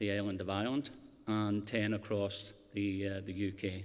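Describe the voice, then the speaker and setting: Audible room echo surrounds the voice. The delivery is at a moderate pace. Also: man. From Scotland. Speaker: community development worker. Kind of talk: conference speech. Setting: stage with audience.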